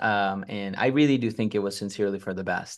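Against a quiet background, a man talks with a Spanish accent. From Mexico, Monterrey. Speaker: real estate investor. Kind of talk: interview.

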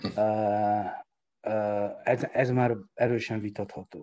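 A man speaks at medium pitch with a dark, mellow tone and fairly even intonation. The background is quiet. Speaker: sports economist. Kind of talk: interview. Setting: podcast.

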